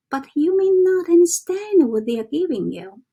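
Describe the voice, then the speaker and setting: A woman speaks with a Chinese accent and very wide pitch swings. Her tone is dark and mellow. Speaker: self-development vlogger. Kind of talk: casual teaching monologue. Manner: halting, with fillers and self-corrections.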